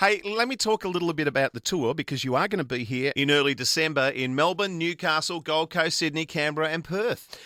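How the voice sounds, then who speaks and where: A man with a strong Australian accent talks at a fairly quick clip with hardly any pauses, his bright, sharp tone sitting fairly high in pitch with ordinary pitch variation, recorded dry and close with no echo. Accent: thick Australian. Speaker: radio host. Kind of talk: radio interview. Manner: animated.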